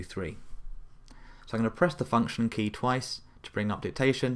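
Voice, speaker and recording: A voice with a British accent on a very clean recording with a silent background. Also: man. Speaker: tech tutorial presenter. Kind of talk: tutorial. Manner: fast.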